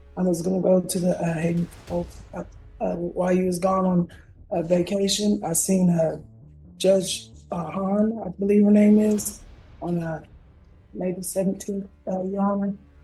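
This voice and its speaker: Over music in the background, the speaker delivers a monotone, flat line at a moderate pace with long, frequent pauses and audible room echo. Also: woman. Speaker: defendant in court. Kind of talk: courtroom testimony. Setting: courtroom. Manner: halting.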